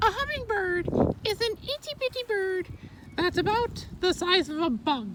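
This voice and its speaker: A cartoonish character voice at an extremely high pitch swings very widely in pitch, moving at a fairly slow pace over clear background noise. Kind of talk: comedic fake educational talk to camera. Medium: puppet. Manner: flamboyant, theatrical.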